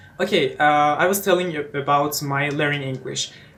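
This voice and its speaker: With noticeable background noise around him, a man talks at a fairly high pitch that varies in an ordinary way. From eastern Iran. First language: Persian. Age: 20s. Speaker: English teacher and student. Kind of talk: casual self-introduction vlog. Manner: halting, many fillers.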